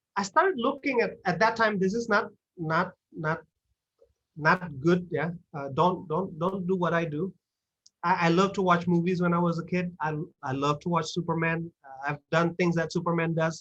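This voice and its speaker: Someone with an Indonesian accent speaks at a moderate pace in an animated tone. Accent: Sundanese-tinged English. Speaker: guest speaker at English club. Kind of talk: talk to online audience. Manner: animated, many fillers and repetitions.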